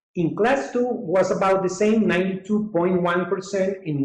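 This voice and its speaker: Delivered at a fairly slow pace, the speech carries an audible echo from the room. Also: man. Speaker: dental surgeon presenting webinar. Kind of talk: webinar lecture.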